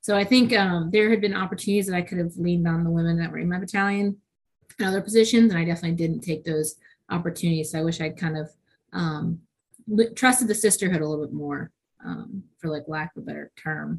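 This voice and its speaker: Somewhat breathy, a woman with an American accent speaks at a very fast pace. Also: fairly low pitch for a woman, ordinary pitch variation. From New York, with six childhood years in England. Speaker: army officer, combat engineer. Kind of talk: interview conversation.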